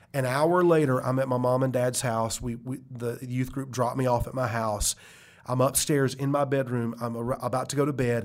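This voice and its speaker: Here a man speaks in a monotone with flat intonation. His pitch is medium and his pace moderate. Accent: Southern US. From US South, South Carolina. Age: 40s. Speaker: pastor and author. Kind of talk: interview, testimony. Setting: studio.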